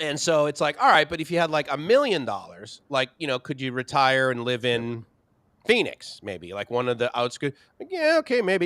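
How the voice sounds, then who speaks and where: A man with an American accent and a normal speaking voice talks at a moderate pace and fairly high pitch with lively intonation. The sound is dry and close, with no echo. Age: 50s. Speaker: livestream co-host. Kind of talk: casual chat. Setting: livestream.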